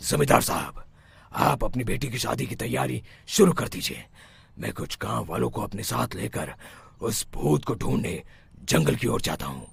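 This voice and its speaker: A man's cartoonish character voice, very deep and low, with very wide pitch swings at a moderate pace. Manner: solemn, authoritative.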